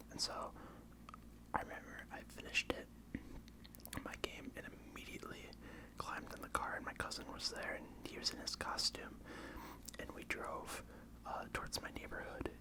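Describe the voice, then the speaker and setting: A man whispers at a moderate pace, with long, frequent pauses. Noticeable background noise runs underneath. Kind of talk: ASMR whisper ramble to camera. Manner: whispered, soft-spoken, casual.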